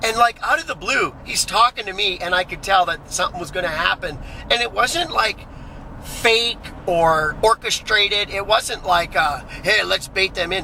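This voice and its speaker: Loud and animated, a man talks at a moderate pace with a high pitch and ordinary pitch variation, with noticeable background noise behind him. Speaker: vlogger. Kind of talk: casual vlog monologue. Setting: in a car.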